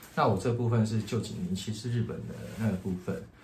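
There is audible room echo as a man talks at medium pitch and a moderate pace. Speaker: podcast co-host. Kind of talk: casual chat.

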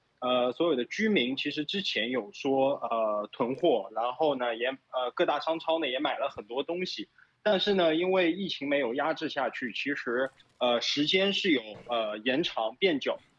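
At a moderate pace, a man with a normal speaking voice and fairly high pitch uses lively intonation. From Shanghai, China. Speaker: Shanghai resident during lockdown. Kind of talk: casual interview.

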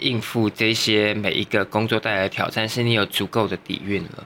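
A man's bright, sharp voice at a medium pitch and a moderate pace. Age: 30s. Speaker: makeup and hair artist. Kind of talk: casual chat.

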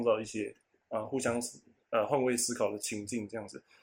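A man's voice sits at medium pitch. The recording is very clean against a silent background. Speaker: podcast co-host. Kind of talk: casual chat. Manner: lively, energetic; relaxed, sleepy.

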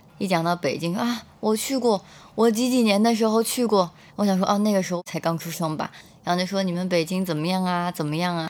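The woman talks at a fairly quick pace with a medium pitch and ordinary pitch variation. The recording is very clean, the background silent. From Beijing, China. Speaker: graduate student. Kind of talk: first-person storytelling.

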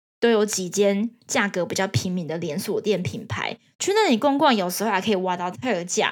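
A woman speaks in a Taiwanese accent at medium pitch, moving at a moderate pace with hardly any pauses. Her pitch varies in an ordinary way, and the recording is very clean with a silent background. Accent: Taiwanese Mandarin. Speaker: podcast host sharing working holiday experience. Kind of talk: casual solo monologue.

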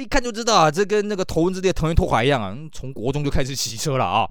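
Very fast male speech with very wide pitch swings. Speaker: podcast host. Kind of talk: casual chat. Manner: animated.

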